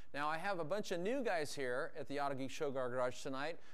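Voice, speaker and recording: Fairly quick delivery from a man, pitch rising and falling in an ordinary way. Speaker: detailing instructor. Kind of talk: tutorial. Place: garage.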